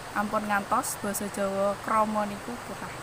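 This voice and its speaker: The delivery is flat and monotone. Audible room echo and noticeable background noise run through the clip. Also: woman. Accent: strong Javanese. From Central Java, Wonogiri regency. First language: Javanese (speaking Indonesian). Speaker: podcaster. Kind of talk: solo podcast monologue.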